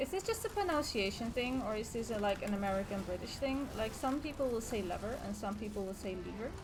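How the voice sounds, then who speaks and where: With a non-native accent, a woman talks at a very fast pace with hardly any pauses, a fairly high pitch and ordinary pitch variation, amid audible room echo and noticeable background noise. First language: not English. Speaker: gaming YouTuber. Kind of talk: let's play commentary. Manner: casual, conversational.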